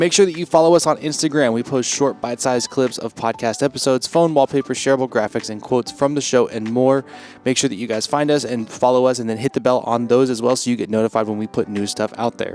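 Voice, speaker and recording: A very fast male voice at medium pitch with ordinary pitch variation and hardly any pauses, dry and close with no echo, music in the background. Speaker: podcast producer reading outro announcements. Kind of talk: scripted outro announcements. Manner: quirky inflections.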